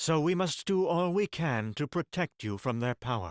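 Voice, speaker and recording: Putting on a character voice, a man speaks at a moderate pace in a fairly high pitch, with very wide pitch swings. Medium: read story. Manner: thoughtful.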